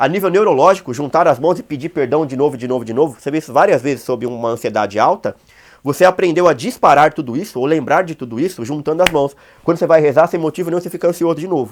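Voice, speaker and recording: A man talks at a very fast pace. His fairly high voice shows ordinary pitch variation. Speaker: online course teacher on OCD. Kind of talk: lecture. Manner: casual, colloquial.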